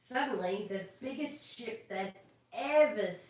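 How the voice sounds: The speaker uses a natural reading voice.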